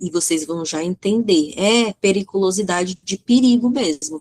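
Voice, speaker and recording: Medium-pitched woman with a Brazilian accent, lively intonation, and a dry, close sound with no echo. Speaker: teacher. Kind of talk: online lecture. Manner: halting, with many fillers.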